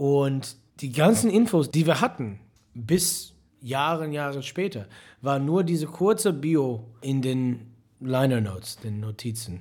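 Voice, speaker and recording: Speaking with an English accent, a man uses a fairly high pitch with very wide swings at a very slow pace. The recording is very clean, with a silent background. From US, Detroit, Michigan. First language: English (speaking German). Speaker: musician. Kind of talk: interview.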